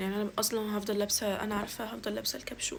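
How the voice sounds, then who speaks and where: A woman speaks with a fairly high pitch. Noticeable background noise runs behind her. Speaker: university student vlogger. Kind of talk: get ready with me vlog. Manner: casual, chatty.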